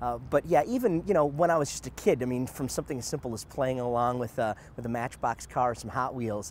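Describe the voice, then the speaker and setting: A man with a medium pitch talks fairly quickly in a plain, everyday voice, his pitch varying in an ordinary way. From Detroit, US Midwest. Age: 40s. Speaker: race car driver. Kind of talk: promotional interview.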